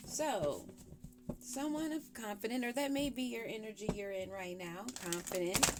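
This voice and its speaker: Over noticeable background noise, a woman speaks fairly slowly at a fairly high pitch with ordinary pitch variation. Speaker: tarot reader. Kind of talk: tarot reading. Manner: casual, chatty.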